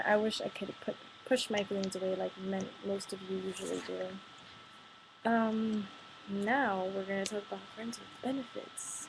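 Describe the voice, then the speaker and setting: A woman of medium pitch at a moderate pace. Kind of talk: casual talk to camera, partly read from notes. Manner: a bit monotone.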